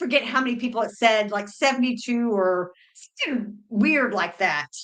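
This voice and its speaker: The speaker is a woman with a fairly high pitch. Her voice rises and falls in an ordinary way. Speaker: cruise podcast co-host. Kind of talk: casual chat. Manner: loud.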